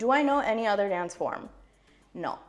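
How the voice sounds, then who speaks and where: Music plays in the background as a woman with an American accent speaks with lively intonation. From US, California. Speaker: classical Indian dancer. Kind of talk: casual get-ready-with-me vlog. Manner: casual, chatty.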